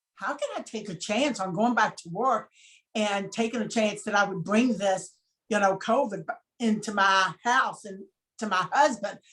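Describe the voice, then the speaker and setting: Using an ordinary speaking voice, a woman speaks at a moderate pace with a medium pitch, ordinary pitch variation and big swings in loudness. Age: 60s. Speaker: chocolate maker, former dental worker. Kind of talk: interview.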